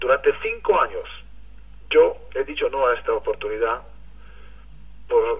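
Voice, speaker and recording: A man is speaking. He has an Israeli accent. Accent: foreign (Israeli) accent in Spanish. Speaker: network marketing leader. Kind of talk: motivational testimony. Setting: phone call.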